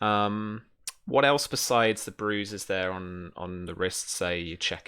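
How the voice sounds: A man speaks slowly and low with little pitch movement. His tone is bright, sharp, clear and smooth.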